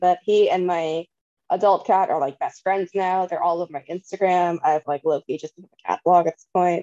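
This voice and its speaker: A woman with an American accent, dark, mellow tone, fairly even intonation and moderate pace, in a dry, close sound with no echo. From San Francisco Bay Area, California. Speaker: panelist, athlete. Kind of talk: casual chat.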